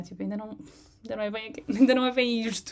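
A woman speaks with a European Portuguese accent. Her intonation stays fairly even. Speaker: designer. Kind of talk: casual interview. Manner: hesitant, many fillers.

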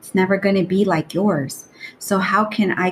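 There is noticeable background noise. A woman speaks at a medium pitch with fairly even intonation. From Los Angeles, California. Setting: video call.

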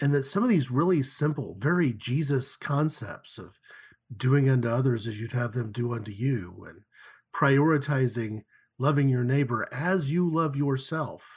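A man's somewhat breathy voice, medium in pitch, with an American accent, ordinary pitch variation and a moderate pace, in a very clean recording with a silent background. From Oklahoma (Tulsa). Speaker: church leader and podcast co-host. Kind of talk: casual discussion. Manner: halting, many fillers.

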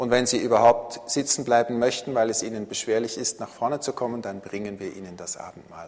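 The man speaks at a medium pitch. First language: Swiss German (speaking German). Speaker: pastor. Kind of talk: sermon. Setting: church.

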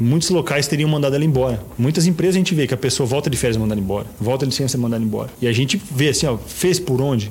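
A man at a very fast pace with hardly any pauses, over noticeable background noise. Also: medium pitch for a man, ordinary pitch variation. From Paraná, Brazil (Toledo). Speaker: real estate agency partner. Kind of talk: interview.

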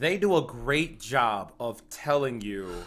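An animated man's voice at a medium pitch, with very wide pitch swings and a bright, sharp tone. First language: not English. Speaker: podcast co-host. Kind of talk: casual chat. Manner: animated, excitable.

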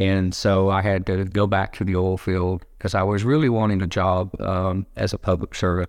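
A man with an American accent, very deep and low in pitch, at a moderate pace with very even loudness, on a very clean recording with a silent background. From Oklahoma, Garvin County. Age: 60s. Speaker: former corrections director. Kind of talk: interview, conversational storytelling. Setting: in-person recording.

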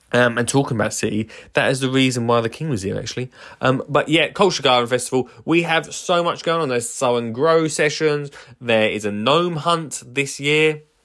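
In a very clean recording with a silent background, a man with an Essex accent speaks in an animated tone at medium pitch, moderate pace and ordinary pitch variation. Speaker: gardener and podcast host. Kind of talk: casual solo podcast monologue.

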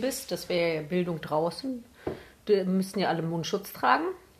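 Here a woman speaks at medium pitch. Her pace is moderate. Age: 20s. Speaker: podcast co-host. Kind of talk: casual chat.

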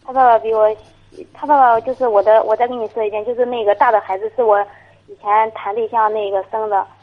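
A woman talks at a very fast pace in a fairly high pitch. Her delivery is monotone and flat. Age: 20s. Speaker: caller, young mother. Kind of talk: phone-in conversation. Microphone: too quiet at first.

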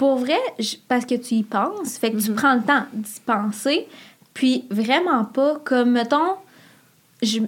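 A woman with a Quebec accent speaks at a very slow pace with long, frequent pauses. Her high voice has lively intonation and big swings in loudness. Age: 20s. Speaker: podcast listener guest. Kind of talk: casual chat. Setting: studio.

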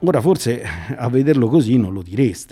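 The man speaks at medium pitch with a dark, mellow tone and a slightly husky edge. His intonation is lively and his pace moderate.

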